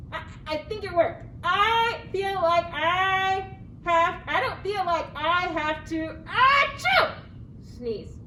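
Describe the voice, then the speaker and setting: Over clear background noise, a cartoonish character voice with extremely high pitch drags along at a very slow pace. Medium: puppet. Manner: hesitant, stammering.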